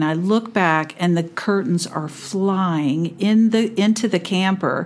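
An ordinary speaking voice talks in an American accent at a fairly slow pace. Its pitch variation is ordinary. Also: woman. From California. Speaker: RV camper. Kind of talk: storytelling in interview.

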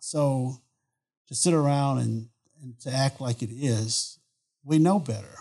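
A man's medium-pitched, somewhat breathy voice with ordinary pitch variation. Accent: American. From Southeast Texas (Beaumont). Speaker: oil and gas executive. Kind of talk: interview answers.

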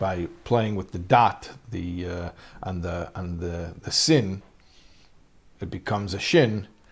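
A man with an American accent speaks in a very deep, low voice that is somewhat breathy. His pace is fairly slow, with ordinary pitch variation. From US. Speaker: rabbi teaching a class. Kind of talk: lecture.

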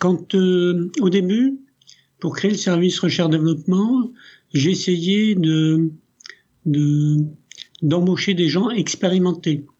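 Very slowly and with long, frequent pauses, a man speaks in a high pitch at very even loudness. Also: ordinary pitch variation. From France, raised from age 6 by Italian family. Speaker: company CEO. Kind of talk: interview.

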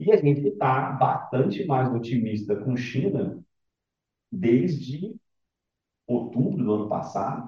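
A man speaks at a fairly slow pace with long, frequent pauses. His medium pitch moves in very wide swings. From Rio de Janeiro, Brazil. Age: 50s. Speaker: fund manager. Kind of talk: podcast interview.

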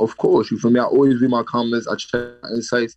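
A man with a New York accent, at a fairly quick pace. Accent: New York City. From the Bronx, New York. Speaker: drill rapper. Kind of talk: interview.

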